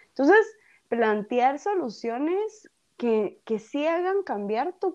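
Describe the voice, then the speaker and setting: Against a quiet background, a woman speaks at a very slow pace, her pitch swinging very widely. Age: 30s. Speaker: entrepreneur. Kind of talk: interview. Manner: halting, repeats words.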